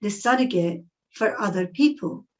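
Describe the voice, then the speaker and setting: Speaking at a fairly slow pace, the woman's voice sits fairly high in pitch. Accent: Scottish. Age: 60s. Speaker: psychic medium and speaker. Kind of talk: talk to an audience.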